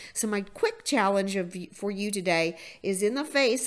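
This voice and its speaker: In a normal speaking voice, a woman speaks at a medium pitch and moderate pace with lively intonation, on a very clean recording with a silent background. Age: 50s. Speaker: motivational podcast host. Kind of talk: motivational monologue.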